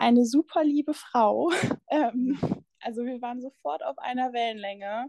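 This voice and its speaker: A high-pitched woman's voice with lively intonation at a moderate pace, the sound dry and close with no echo. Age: 20s. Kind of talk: personal testimony in interview. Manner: halting.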